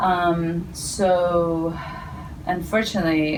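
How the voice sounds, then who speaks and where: In a Spanish accent, a woman speaks at a fairly low pitch, with audible room echo and noticeable background noise. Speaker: healthcare professional. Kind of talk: interview. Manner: hesitant, many fillers.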